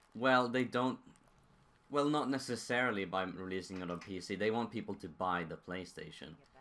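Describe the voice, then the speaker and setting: In a Swedish accent, a man with a fairly low pitch speaks with a bright, sharp tone and lively intonation. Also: moderate pace. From Sweden. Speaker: gaming streamer. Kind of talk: live stream commentary.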